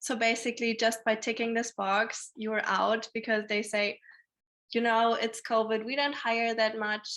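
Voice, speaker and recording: A woman with a German accent speaks at a moderate pace. Her fairly high voice has a bright, sharp tone. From Germany. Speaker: alumna panelist. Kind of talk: panel discussion.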